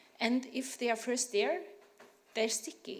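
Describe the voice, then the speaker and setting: This woman has a fairly high pitch. Audible room echo surrounds her voice. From Norway. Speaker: tax researcher, academic. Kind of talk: panel discussion. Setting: conference panel with audience.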